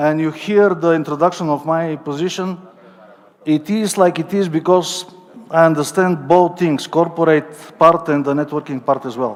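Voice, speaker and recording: With a Bulgarian accent, a man speaks at a moderate pace and fairly high pitch with fairly even intonation, over noticeable background noise. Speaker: company network coordinator. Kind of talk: corporate presentation. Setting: stage with audience, livestream.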